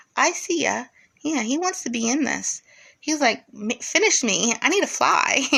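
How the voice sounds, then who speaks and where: In a raised, projected voice, a woman speaks at a high pitch and a moderate pace with lively intonation. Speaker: crafts vlogger. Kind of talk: casual vlog introduction. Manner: hesitant, says um a lot.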